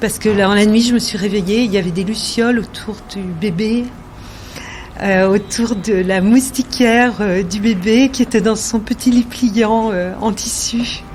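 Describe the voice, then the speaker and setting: Over noticeable background noise, a woman speaks at a fairly slow pace with a fairly high pitch and fairly even intonation. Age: 60s. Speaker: interviewee sharing life story. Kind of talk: personal testimony. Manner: hesitant, many fillers.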